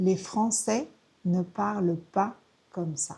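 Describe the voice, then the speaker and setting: A woman speaks with a dark, mellow tone that is somewhat breathy. Her intonation is lively. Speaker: French teacher. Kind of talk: tutorial. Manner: slow.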